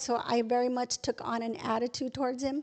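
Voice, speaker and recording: A woman with an American accent speaks at a high pitch in a monotone, flat intonation over a quiet background. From Texas, San Antonio area. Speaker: guest sharing faith testimony. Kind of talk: testimony. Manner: fast.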